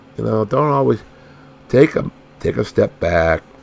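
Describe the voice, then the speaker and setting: A male speaker is heard with clear background noise throughout. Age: old. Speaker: YouTuber with a chronic illness. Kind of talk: casual monologue vlog. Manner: halting, many fillers.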